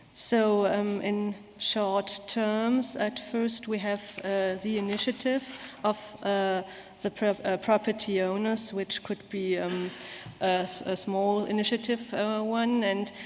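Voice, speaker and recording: A woman's medium-pitched voice in a German accent, monotone and flat, at a very slow pace. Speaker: conference speaker. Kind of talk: conference talk. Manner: halting.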